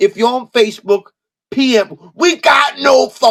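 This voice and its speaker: A man speaks loud at an extremely high pitch with lively intonation. The sound is dry and close, with no echo. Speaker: live-stream seller of collectible figures. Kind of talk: live-stream auction chat. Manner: animated.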